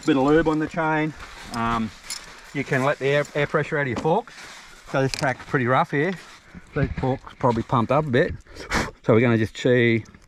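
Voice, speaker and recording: Speaking at a fairly quick pace in an Australian accent, a man with a fairly high pitch uses ordinary pitch variation, and the sound is dry and close with no echo. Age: 60s. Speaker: ex-motocross rider. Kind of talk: casual chat. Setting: outdoors.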